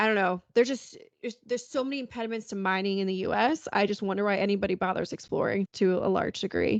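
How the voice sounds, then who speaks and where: Talking at a very fast pace with hardly any pauses, a woman with a New York accent uses a medium pitch and ordinary pitch variation. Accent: American, New York. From Long Island, New York. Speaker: podcast host. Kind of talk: casual chat.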